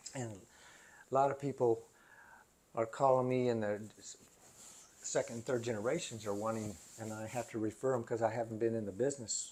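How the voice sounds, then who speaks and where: Speaking with an American accent, a man uses a medium pitch, a dark, mellow tone and fairly even intonation at a moderate pace. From US South. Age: 60s. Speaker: retiree. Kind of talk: casual chat.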